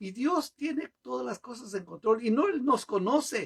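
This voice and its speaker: His voice swings very widely in pitch, and the man is heard with a dry, close sound and no echo. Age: 70s. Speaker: pastor. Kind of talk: sermon.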